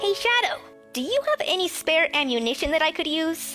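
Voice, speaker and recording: Over clear music in the background, someone performs in a put-on character voice. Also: fairly quick pace. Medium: dub.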